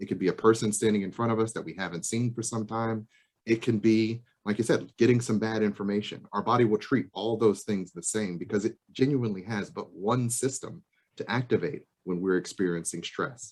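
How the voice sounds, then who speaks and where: At a fairly quick pace, a man speaks in a fairly low voice with ordinary pitch variation. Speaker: psychologist presenter. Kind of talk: presentation. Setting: video call. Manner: fast.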